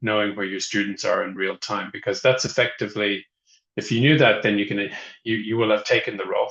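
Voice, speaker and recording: A man with an Irish accent speaks at a fairly low pitch. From Ireland. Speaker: software company representative, webinar host. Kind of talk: webinar presentation. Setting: online webinar. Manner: hesitant, many fillers.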